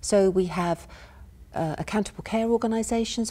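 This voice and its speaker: A woman's somewhat breathy voice, dark and mellow in tone, with fairly even intonation at a fairly quick pace. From United Kingdom. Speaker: university professor giving a lecture. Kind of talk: academic lecture. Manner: soft-spoken, calm. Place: stage.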